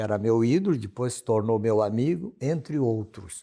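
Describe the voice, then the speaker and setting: A man speaks with a dark, mellow tone at a medium pitch. The recording is very clean, with a silent background. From southern Brazil, Santa Catarina. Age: 70s. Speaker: singer. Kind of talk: interview.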